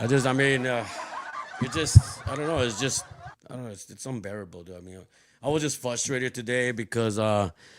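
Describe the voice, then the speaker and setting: A man at medium pitch talks at a fairly quick pace with long, frequent pauses and big swings in loudness, against noticeable background noise. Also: ordinary pitch variation. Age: 50s. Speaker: podcast host. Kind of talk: casual chat. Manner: halting, many false starts and fillers.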